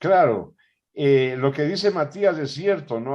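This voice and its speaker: A man with an unremarkable speaking voice talks at a fairly slow pace. His intonation is lively, and the background is quiet. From Ecuador. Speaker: interviewer host. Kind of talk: interview conversation.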